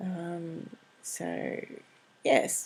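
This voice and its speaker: A woman mumbles in an Australian accent. The recording is very clean, with a silent background. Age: 40s. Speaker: craft vlogger. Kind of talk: casual vlog update. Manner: mumbling.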